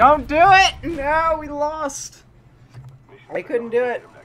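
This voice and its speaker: Very slow speech over noticeable background noise. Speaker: gamer. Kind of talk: live game commentary. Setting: gaming session commentary. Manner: loud, frantic, exasperated, shouting and pleading in mock despair; animated, with outbursts of rage and yelling at opponents.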